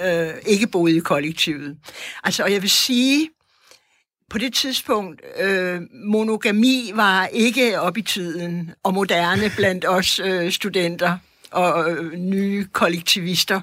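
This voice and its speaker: A woman speaks very slowly at a medium pitch with ordinary pitch variation. The recording is very clean, with a silent background. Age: 70s. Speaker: artist and teacher, former commune member. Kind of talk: interview and debate. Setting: studio.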